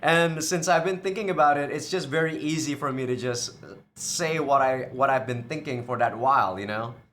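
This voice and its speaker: There is audible room echo around a man's voice. He speaks at a fairly high pitch with ordinary pitch variation. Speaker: video game streamer. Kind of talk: casual channel update. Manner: unscripted, casual.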